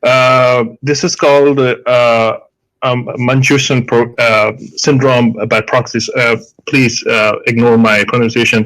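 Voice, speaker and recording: The speaker, with a strong Indian accent, talks at a very slow pace with very even loudness and monotone, flat intonation. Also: man, medium pitch for a man. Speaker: medical doctor. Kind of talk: debate. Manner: halting, many fillers.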